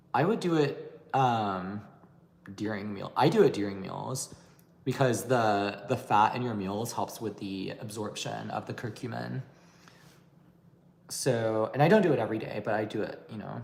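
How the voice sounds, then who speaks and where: Delivered at a moderate pace, the voice has vocal fry, ordinary pitch variation and big swings in loudness. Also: man, fairly low pitch for a man. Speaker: beauty and anti-aging YouTuber. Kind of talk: livestream Q&A chat. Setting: livestream.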